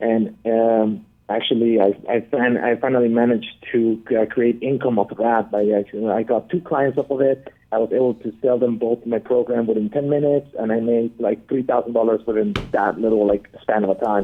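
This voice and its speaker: Man at medium pitch and a moderate pace, with fairly even intonation and very even loudness. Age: 20s. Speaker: caller. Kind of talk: phone-in call. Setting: phone call. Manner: halting, many fillers.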